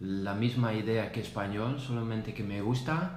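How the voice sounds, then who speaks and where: A man at medium pitch with a Dutch accent, audible room echo and noticeable background noise. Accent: Dutch accent in Spanish, Spain-learned. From Netherlands. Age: 30s. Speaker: salesperson. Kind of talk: casual chat. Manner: halting, many fillers.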